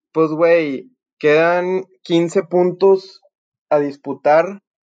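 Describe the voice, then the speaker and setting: This man's voice sits at a fairly high pitch. He is the only speaker here. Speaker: podcast host. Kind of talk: casual chat.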